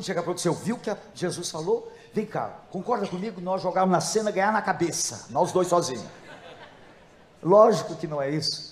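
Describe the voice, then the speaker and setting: A man with a high-pitched voice talks at a fairly quick pace with ordinary pitch variation, with audible room echo and noticeable background noise. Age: 70s. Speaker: pastor. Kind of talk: sermon.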